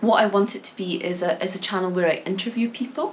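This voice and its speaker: Someone speaks at a fairly quick pace with a Scottish accent. Noticeable background noise is present. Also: woman. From Scotland. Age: 20s. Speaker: English teacher and small YouTuber. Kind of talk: talking-to-camera vlog. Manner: hesitant, many fillers and repeats.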